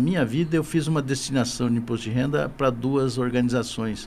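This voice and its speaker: A man speaks at a moderate pace. His voice sits at a medium pitch. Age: 60s. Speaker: business association director. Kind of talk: podcast interview. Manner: halting, repeats words.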